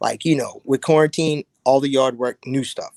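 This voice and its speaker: In a normal speaking voice at medium pitch, a man with an American accent talks at a moderate pace, the sound dry and close with no echo. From South Carolina. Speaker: army veteran and drinks entrepreneur. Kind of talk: interview. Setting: live stream.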